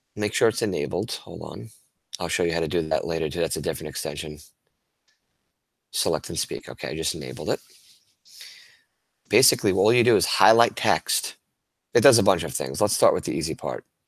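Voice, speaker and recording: A man with vocal fry talks at a very deep, low pitch and a fairly quick pace, broken by long, frequent pauses. The recording is very clean, with a silent background. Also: lively intonation. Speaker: teacher. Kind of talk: tutorial. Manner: fast.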